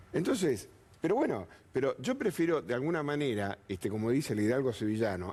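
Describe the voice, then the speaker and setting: The man's pitch swings very widely while he keeps to a moderate pace. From Argentina. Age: 60s. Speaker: political panelist. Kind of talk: TV panel debate.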